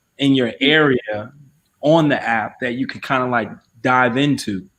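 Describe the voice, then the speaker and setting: Medium in pitch, a man speaks at a moderate pace. It is an unremarkable speaking voice. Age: 30s. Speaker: podcast co-host. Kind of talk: casual chat.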